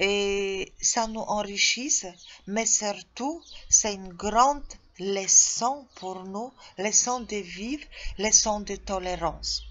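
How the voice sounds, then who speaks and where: Speaking at a medium pitch, a woman shows ordinary pitch variation. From Poland. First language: Polish (speaking French). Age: 40s. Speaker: tour guide job seeker. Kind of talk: self-presentation video. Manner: halting, with hesitations.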